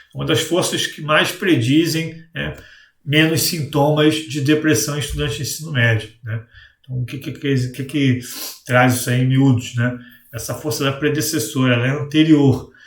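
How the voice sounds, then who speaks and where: Somewhat breathy and fairly high for a man, his voice keeps a fairly even intonation over audible room echo. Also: moderate pace. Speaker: coach and educational video host. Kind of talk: educational talk to camera. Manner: hesitant, frequent fillers.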